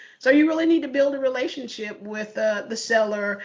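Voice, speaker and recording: A woman talks with lively intonation in a Southern US accent. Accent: Southern drawl. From US South, Charlotte, North Carolina. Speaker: corporate IT mergers and acquisitions lead. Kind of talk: career interview. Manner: hesitant, many fillers.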